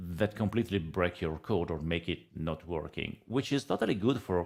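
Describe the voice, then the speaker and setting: Spoken with an Italian accent at a moderate pace, the voice shows ordinary pitch variation on a very clean recording with a silent background. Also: man. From Italy. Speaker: data analytics consultant and trainer. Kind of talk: podcast interview. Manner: hesitant, many fillers.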